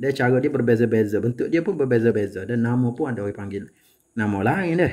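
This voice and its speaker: Ordinary pitch movement in a man's voice of medium pitch. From Kelantan, Malaysia. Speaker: home cooking channel host. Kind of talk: cooking tutorial. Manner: casual, conversational.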